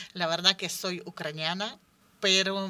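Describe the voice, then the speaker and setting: The tone is bright and sharp, and the pace is fairly slow. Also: woman. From Ukraine. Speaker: cultural association representative. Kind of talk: radio roundtable discussion. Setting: radio studio.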